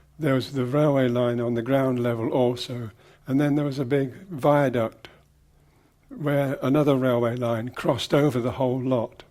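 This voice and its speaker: The voice carries an English Midlands accent and a dark, mellow tone. Its intonation is fairly even. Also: man, medium pitch for a man, moderate pace. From English Midlands, Leicester. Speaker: design teacher and writer. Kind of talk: interview recollection. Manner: reflective, some hesitations.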